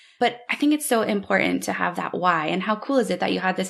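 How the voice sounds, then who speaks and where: Vocal fry runs through this woman's fairly quick delivery. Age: 40s. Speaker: podcast host. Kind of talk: interview.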